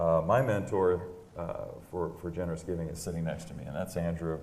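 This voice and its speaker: At a moderate pace, a man with a very deep, low voice speaks amid audible room echo. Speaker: real estate agent hosting a panel interview. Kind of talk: live panel interview on stage. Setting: stage with audience. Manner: loud; halting, many fillers.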